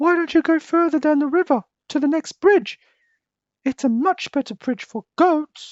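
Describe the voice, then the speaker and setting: This is a put-on character voice. It is high-pitched and squeaky. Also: moderate pace. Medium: read story.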